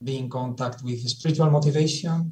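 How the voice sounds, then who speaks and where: A man's somewhat breathy, medium-pitched voice with a dark, mellow tone and a fairly slow pace. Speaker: Jesuit presenter. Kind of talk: presentation. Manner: halting; methodical.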